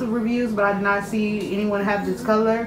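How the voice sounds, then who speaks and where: A woman speaks over noticeable background noise. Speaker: shopping vlogger. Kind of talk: casual product review chat. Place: home room. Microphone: phone near.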